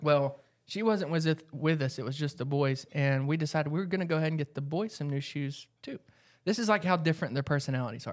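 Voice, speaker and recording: A man with an American accent at a fairly high pitch, talking very fast with ordinary pitch variation, on a very clean recording with a silent background. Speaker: mom, podcast co-host. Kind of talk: casual chat.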